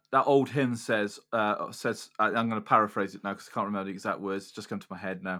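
With a Welsh accent, a man talks at a fairly quick pace in a bright, sharp tone, his intonation fairly even but his loudness swinging widely, on a very clean recording with a silent background. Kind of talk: casual chat.

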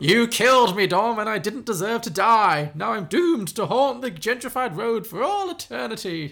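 A man's put-on character voice, raised and projected, high-pitched, at a moderate pace. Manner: ghostly, haunting.

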